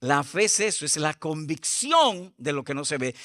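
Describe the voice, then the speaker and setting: A man speaks slowly-ish, at a fairly slow pace, with lively intonation and a bright, sharp tone. The sound is dry and close with no echo, on a very clean recording with a silent background. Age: 70s. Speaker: pastor. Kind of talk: sermon.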